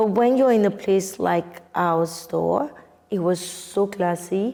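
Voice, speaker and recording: At a fairly slow pace, a woman speaks at a medium pitch with a dark, mellow tone and fairly even intonation. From Nigeria. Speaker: wine entrepreneur. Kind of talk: interview answer.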